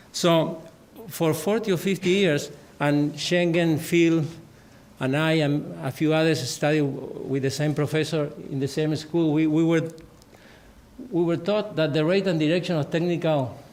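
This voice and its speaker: Fairly slow, fairly high-pitched speech from a man, very even in loudness, with audible room echo. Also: fairly even intonation. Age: 60s. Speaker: agricultural research director. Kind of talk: conference talk. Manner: halting.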